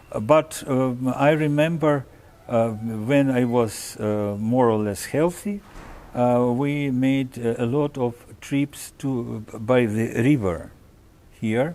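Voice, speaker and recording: A man with a Russian accent speaks at a very slow pace in a dark, mellow tone with ordinary pitch variation. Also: medium pitch for a man. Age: 70s. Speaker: orchestra conductor. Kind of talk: interview. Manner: halting, many fillers.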